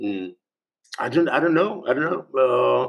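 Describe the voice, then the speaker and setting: This man speaks with a Spanish accent. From Spain. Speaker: journalist and writer, music fan. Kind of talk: podcast interview. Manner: halting, many repetitions.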